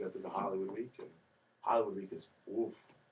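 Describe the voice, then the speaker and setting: A man with an American accent at a very fast pace. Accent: New York accent, stronger when nervous. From New York. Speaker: singer, talent show contestant. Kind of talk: interview. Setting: radio studio. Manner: animated.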